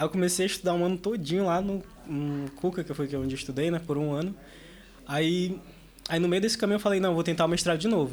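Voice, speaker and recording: Very fast pace with ordinary pitch variation. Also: man, high pitch for a man. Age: 20s. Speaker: university student and student leader. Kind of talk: casual podcast interview. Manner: casual, filler-heavy.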